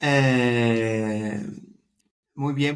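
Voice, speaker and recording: This man speaks with a Dutch accent. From Netherlands. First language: Dutch (speaking Spanish). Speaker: startup co-founder. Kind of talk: interview. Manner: halting.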